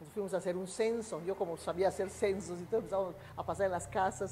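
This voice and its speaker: A woman with medium pitch talks at a very fast pace. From Mexico, Yucatán. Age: 80s+. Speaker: retired teacher, ex-girlfriend of a historical figure. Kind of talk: interview. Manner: halting.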